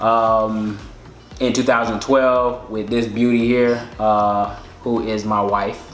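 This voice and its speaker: Music plays in the background as a man speaks at a medium pitch with audible room echo. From Alabama, Birmingham. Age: 20s. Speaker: dental student and army veteran. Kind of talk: casual chat.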